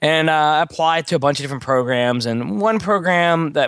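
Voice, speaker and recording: Against a quiet background, a man with an American accent speaks at a moderate pace in a fairly high voice with ordinary pitch variation, a plain, everyday voice. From Texas, Beaumont. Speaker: test prep instructor. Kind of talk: interview.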